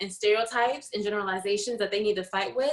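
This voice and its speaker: In an ordinary speaking voice, a woman with an American accent talks at a fairly quick pace. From New Jersey, US. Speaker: podcast co-host. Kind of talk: casual chat.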